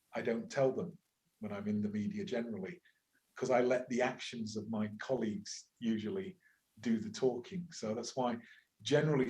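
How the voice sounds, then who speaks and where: In an English accent, a man at medium pitch talks at a moderate pace with a dark, mellow, somewhat breathy tone and very wide pitch swings. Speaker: university lecturer and climate activist. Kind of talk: interview conversation. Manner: hesitant, with repetitions.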